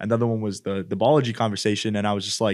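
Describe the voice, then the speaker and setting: In an ordinary speaking voice, a man with a Canadian accent talks at a medium pitch for a man with fairly even intonation on a very clean recording with a silent background. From Edmonton, Alberta, Canada. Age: 20s. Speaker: podcast co-host. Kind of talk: casual chat. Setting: studio.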